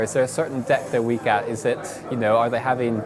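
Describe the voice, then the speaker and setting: Noticeable background noise runs throughout. The talking goes by very fast. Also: man. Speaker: professional esports player. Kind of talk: interview answers. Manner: halting, frequent fillers and repeats.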